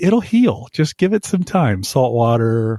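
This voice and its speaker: A man speaks at medium pitch with a dark, mellow tone that is somewhat breathy. His pitch swings very widely, in a dry, close sound with no echo. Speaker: podcast co-host. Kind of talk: casual chat. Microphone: echo early on.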